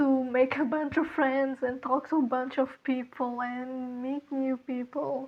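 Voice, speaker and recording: The speech comes at a fairly slow pace with a non-native accent and a monotone, flat intonation. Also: woman. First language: not English. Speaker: art content creator. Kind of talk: casual chat. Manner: halting.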